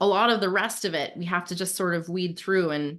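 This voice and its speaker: A woman with a plain, everyday voice talks at a fairly quick pace, her fairly low pitch held in fairly even intonation over a quiet background. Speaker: self-improvement podcast host. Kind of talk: casual chat.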